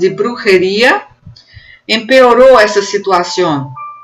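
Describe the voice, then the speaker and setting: A woman at a very slow pace, with lively intonation. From Northeast Brazil. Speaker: university professor. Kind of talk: academic conference presentation.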